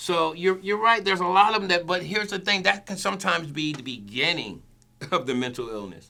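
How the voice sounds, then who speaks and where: A man with a high pitch and a bright, sharp tone talks at a fairly quick pace. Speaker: podcast co-host. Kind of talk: casual discussion. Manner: fast.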